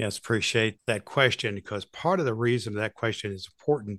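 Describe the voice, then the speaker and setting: A man with an unremarkable speaking voice talks at a moderate pace, pitched fairly low. The sound is dry and close with no echo, over a quiet background. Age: 60s. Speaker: retired pastor and cancer podcaster. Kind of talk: interview.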